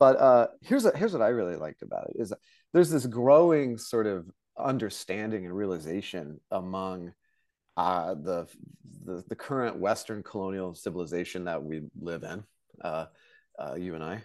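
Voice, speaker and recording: A plain, everyday voice from a man with an American accent, fairly low in pitch, at a moderate pace, with lively intonation and big swings in loudness. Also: quiet background. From Tulsa, Oklahoma, US. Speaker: novelist and robotics PhD. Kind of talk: casual chat.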